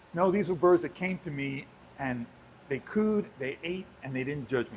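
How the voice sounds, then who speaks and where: In an American accent, a man with a fairly high pitch speaks at a moderate pace, somewhat breathy and with ordinary pitch variation. His tone is animated. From New York City. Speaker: zoo animal expert. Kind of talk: casual chat. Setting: home kitchen live stream.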